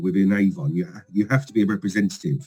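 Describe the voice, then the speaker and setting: Music plays in the background. A man with a London accent speaks at a very fast pace. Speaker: regional sales manager. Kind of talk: casual interview chat. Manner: enthusiastic, energetic; hesitant fillers.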